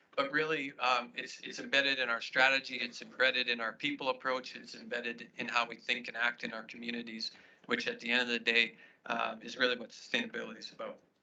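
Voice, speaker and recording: At a very fast pace, a man with a Canadian accent speaks at a medium pitch in a flat monotone. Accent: Canadian, noticeable to Australians. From Saskatchewan, Canada. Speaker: agribusiness executive. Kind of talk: conference presentation. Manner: halting, many repetitions and fillers.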